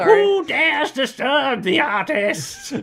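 A put-on character voice, shrill and high-pitched, swings very widely in pitch at a very slow pace. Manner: shrill, dramatic.

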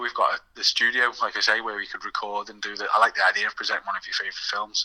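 The speech comes at a very fast pace. The sound is dry and close with no echo, though background noise is noticeable. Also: man. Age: 30s. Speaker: video shop owner. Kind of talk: casual chat.

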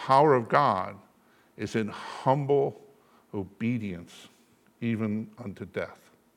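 A man talks at a very slow pace, leaving long, frequent pauses, his pitch in the medium range with ordinary variation. His loudness swings widely. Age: 70s. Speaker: bishop preaching. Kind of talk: sermon. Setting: church.

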